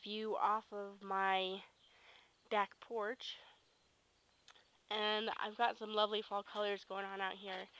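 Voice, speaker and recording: A fairly high-pitched woman's voice with a bright, sharp tone and an American accent, big swings in loudness and long, frequent pauses. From Kansas. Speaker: vlogger. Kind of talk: casual vlog. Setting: outdoors on back porch.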